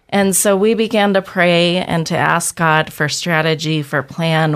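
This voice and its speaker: A woman with an American accent and a plain, everyday voice, fairly low in pitch and fairly even in intonation, at a fairly slow pace on a very clean recording with a silent background. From Boise, Idaho. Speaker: ministry leader. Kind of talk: radio interview.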